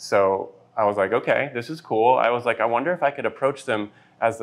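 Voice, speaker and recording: In an ordinary speaking voice with an American accent, a man talks at a fairly quick pace in a medium pitch with ordinary pitch variation against a quiet background. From Texas, Lubbock. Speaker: brand designer. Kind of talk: casual interview.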